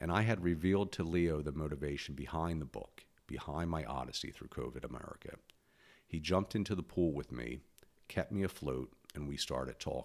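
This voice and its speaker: At a fairly quick pace, a man talks in a very deep, low pitch with vocal fry. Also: ordinary pitch variation. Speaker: podcaster and author. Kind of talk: personal monologue.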